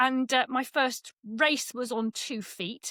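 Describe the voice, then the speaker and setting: A woman's high voice at a very slow pace, in an English accent, with a dry, close sound and no echo. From England. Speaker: cycling esports commentator. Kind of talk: casual interview.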